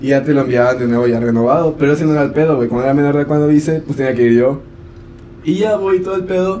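A man's fairly high voice at a very fast pace, with ordinary pitch variation, audible room echo and noticeable background noise. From Mexico, Chiapas. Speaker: podcast co-host. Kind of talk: casual chat.

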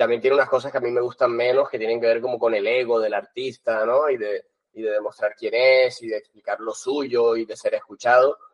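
At a medium pitch, a man talks in a flat monotone with hardly any pauses. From Colombia. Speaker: film festival director. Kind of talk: interview. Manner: halting.

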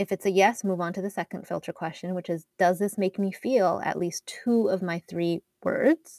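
With a Canadian accent and a dark, mellow tone, the speaker holds a fairly even intonation at a moderate pace with hardly any pauses, in a dry, close sound with no echo on a very clean recording with a silent background. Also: woman, medium pitch for a woman. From Canada, Edmonton, Alberta. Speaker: wardrobe stylist. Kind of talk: interview.

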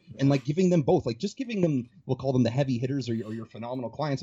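A man speaks at a very fast pace and a medium pitch, somewhat breathy, with ordinary pitch variation. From Calgary area, Canada. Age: 30s. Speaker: fitness coach. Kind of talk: casual chat. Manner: fast talker.

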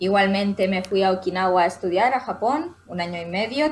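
A woman has an unremarkable speaking voice at a medium pitch. She keeps a moderate pace with ordinary pitch variation. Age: 30s. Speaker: language academy co-founder. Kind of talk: interview.

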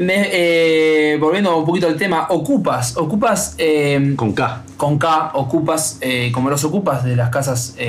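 Fairly high-pitched male voice at a fairly slow pace, with ordinary pitch variation, very even loudness, audible room echo and music in the background. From Uruguay. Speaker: radio co-host. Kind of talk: casual chat.

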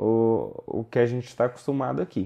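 A man speaks at a moderate pace. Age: 20s. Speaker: solar energy entrepreneur. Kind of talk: interview. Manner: halting.

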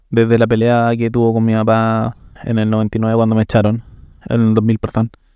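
A man with a Chilean accent speaks at a moderate pace and medium pitch in a dark, mellow tone. The sound is dry and close with no echo, over a quiet background. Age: 30s. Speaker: interview guest sharing life story. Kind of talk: personal testimony. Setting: café.

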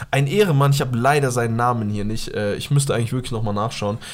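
A man is speaking. His tone is animated. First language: Pashto (speaking German). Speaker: podcast co-host. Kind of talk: casual chat.

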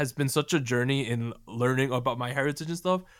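The speaker is a man with a New Jersey accent. The recording is very clean, with a silent background. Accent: American, New Jersey. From New Jersey, US. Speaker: K-pop podcast host. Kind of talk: casual chat.

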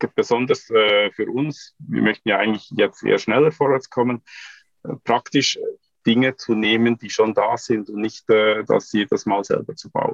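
The recording is dry and close, without any echo. This man talks at a fairly slow pace. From Switzerland. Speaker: computer scientist, startup co-founder. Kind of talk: podcast interview.

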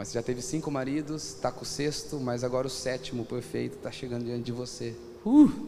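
Amid noticeable background noise and audible room echo, a man with a Brazilian accent talks at a fairly quick pace, at medium pitch with ordinary pitch variation. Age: 30s. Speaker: pastor. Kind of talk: sermon.

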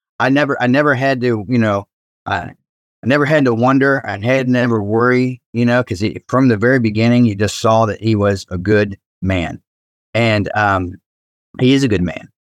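Against a quiet background with a dry, close sound and no echo, a man with an unremarkable speaking voice and an American accent speaks at a moderate pace and medium pitch, with ordinary pitch variation. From Ohio, Cincinnati. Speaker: pastor. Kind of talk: casual chat.

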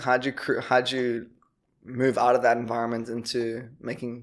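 With a South African accent, a man speaks at a moderate pace and medium pitch in a monotone, flat delivery. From Durban, South Africa. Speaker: podcast host. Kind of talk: casual interview chat.

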